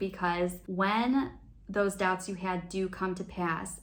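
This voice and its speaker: Someone speaks with an American accent at a very slow pace. Audible room echo surrounds the voice. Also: woman. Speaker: expat vlogger. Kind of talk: advice talk to camera.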